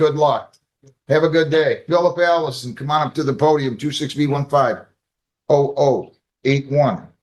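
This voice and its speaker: This man has a fairly high pitch and a monotone, flat intonation. He speaks at a moderate pace. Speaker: judge. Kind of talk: courtroom proceedings. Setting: courtroom. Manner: loud; brisk.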